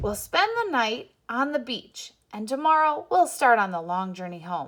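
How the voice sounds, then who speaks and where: In a put-on character voice, a woman uses a fairly high pitch with very wide pitch swings at a moderate pace, on a very clean recording with a silent background. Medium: read story. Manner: steady.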